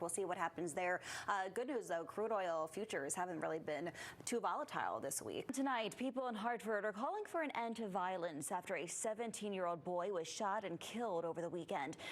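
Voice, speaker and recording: In a normal speaking voice with an American accent, a woman talks at a fairly quick pace and medium pitch, her intonation lively and her loudness very even. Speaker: television news anchor. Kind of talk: TV news anchor delivery.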